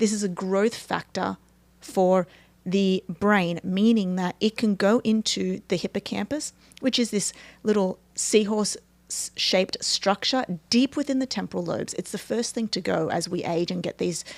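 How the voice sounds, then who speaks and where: A woman with an Australian accent speaks at a moderate pace, medium in pitch with ordinary pitch variation. The recording is very clean with a silent background and a dry, close sound with no echo. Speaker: neuroscience performance coach. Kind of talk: interview explanation.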